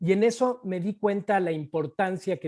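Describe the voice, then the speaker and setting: A man talks at a fairly slow pace in a high voice with ordinary pitch variation. The background is quiet. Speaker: real estate investor. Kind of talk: interview.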